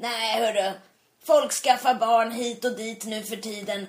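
Here is a woman with an unremarkable speaking voice. She goes at a fairly slow pace with ordinary pitch variation. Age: 40s. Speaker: podcast co-host. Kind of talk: casual chat.

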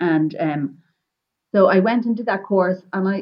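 In a Wexford Irish accent, a woman speaks at a fairly low pitch with ordinary pitch variation. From Ireland, North County Wexford. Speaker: flower grower and entrepreneur. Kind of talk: interview.

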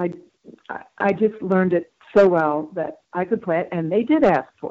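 A woman with an American accent talks at a fairly slow pace, with a medium pitch and ordinary pitch variation. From US Midwest, rural Wisconsin. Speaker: orchestral bassoonist. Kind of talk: interview. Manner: halting, with repeated words.

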